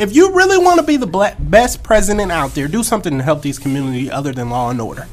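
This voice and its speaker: This man speaks very fast in an American accent, with hardly any pauses and noticeable background noise. His pitch is high, with very wide swings. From California. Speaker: podcast co-host. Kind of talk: casual chat.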